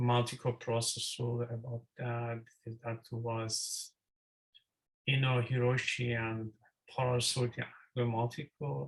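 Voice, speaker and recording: A man with a non-native accent speaks very slowly, with long, frequent pauses. His medium-pitched voice is somewhat breathy and monotone, with flat intonation. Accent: non-native English accent (self-remarked). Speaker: student presenter. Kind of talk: presentation. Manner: halting.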